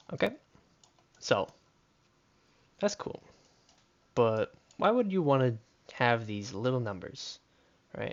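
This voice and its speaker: A man talks at a fairly slow pace with long, frequent pauses. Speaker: coding tutorial creator. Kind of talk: tutorial. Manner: halting, with many fillers.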